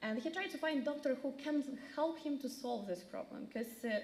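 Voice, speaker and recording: A woman with a Ukrainian accent, lively intonation and a fairly slow pace. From Ukraine. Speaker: refugee resettlement caseworker. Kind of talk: community presentation. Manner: halting, many fillers.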